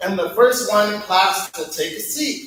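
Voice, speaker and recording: Audible room echo is clear in the recording. The speaker is a man. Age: 30s. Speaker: poet at open mic. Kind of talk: casual interview answers; spoken word performance. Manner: halting.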